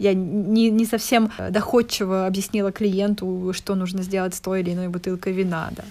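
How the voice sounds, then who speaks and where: A woman's medium-pitched voice, dark and mellow in tone, with monotone, flat intonation at a moderate pace. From Russia, Voronezh. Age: 20s. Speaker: wine expert and entrepreneur. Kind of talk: casual interview chat.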